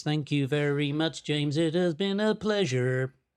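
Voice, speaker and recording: A put-on character voice with a low-to-middle pitch, at a moderate pace. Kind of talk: formal.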